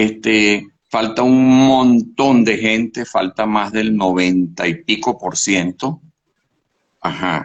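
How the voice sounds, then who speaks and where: A man speaks at a very slow pace. His fairly low pitch shows ordinary variation. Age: 70s. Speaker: professor. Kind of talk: interview. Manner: animated.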